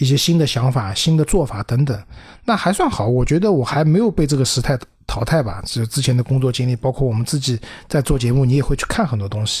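A man speaks at a very fast pace in a somewhat breathy voice with ordinary pitch variation. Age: 40s. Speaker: PR professional. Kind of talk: casual chat.

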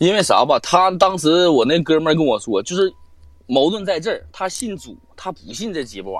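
The man's voice sits high in pitch. He uses lively intonation. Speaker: live-stream guest storyteller. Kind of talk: casual storytelling. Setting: live online voice call. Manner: animated, fast talker, profane.

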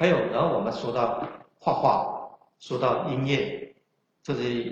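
The pauses are long and frequent. A man talks at a very slow pace. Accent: strong Chaoshan. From China, Chaoshan region of Guangdong. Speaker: history scholar and author. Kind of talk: lecture. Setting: online livestream lecture. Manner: halting, many filler sounds.

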